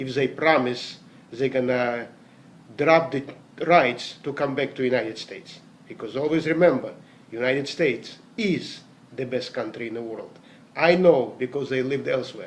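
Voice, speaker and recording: This man speaks at a moderate pace in a medium pitch with ordinary pitch variation and long, frequent pauses. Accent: non-native. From Latvia (Riga), former Soviet Union. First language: Russian. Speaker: network marketing distributor, salesman. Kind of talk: motivational talk.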